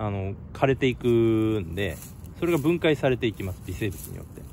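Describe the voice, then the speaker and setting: The man's pitch sits fairly low, and he keeps a moderate pace. The sound is dry with no echo, over light background noise. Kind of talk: tutorial. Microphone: phone near.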